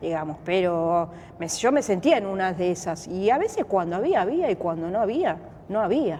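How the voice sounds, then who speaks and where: Her dark, mellow tone sits at a medium pitch for a woman, with lively intonation and a moderate pace. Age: 40s. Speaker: boxer. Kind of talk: interview. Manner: hesitant, repetitive fillers.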